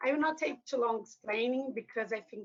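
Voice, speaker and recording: A woman talks with a Brazilian Portuguese accent. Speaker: academic author. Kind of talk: lecture. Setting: book launch event with audience. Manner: formal.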